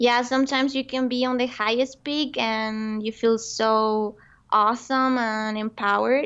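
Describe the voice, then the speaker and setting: Speech comes at a fairly slow pace in a Spanish accent. The intonation is monotone and flat. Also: woman, fairly high pitch for a woman. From Colombia. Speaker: entrepreneur. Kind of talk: interview.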